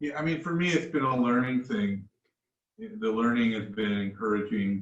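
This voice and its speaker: It is a normal speaking voice, with ordinary pitch variation at a moderate pace. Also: man, medium pitch for a man. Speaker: pastor. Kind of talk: casual chat.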